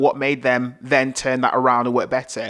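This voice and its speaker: Speaking at a very fast pace, a man with a Yorkshire accent has a fairly high pitch. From northern England, Bradford, West Yorkshire. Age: 30s. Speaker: podcast host and video producer. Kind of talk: solo podcast monologue.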